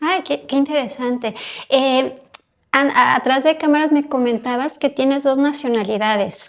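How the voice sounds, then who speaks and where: A woman's high-pitched voice in a Mexican accent, with fairly even intonation and a fairly slow pace. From Mexico. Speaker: podcast host, psychotherapist. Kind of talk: interview conversation.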